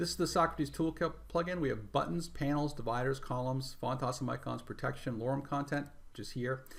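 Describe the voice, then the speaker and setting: Somewhat breathy, a man talks at a very fast pace with a fairly high pitch. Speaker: web developer and theme creator. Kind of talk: tutorial. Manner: casual.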